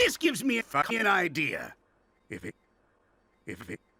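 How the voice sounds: Using a cartoonish character voice, a man speaks at a high pitch and a moderate pace.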